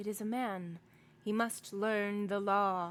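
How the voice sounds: A female-sounding voice at medium pitch puts on a character voice and speaks at a fairly slow pace.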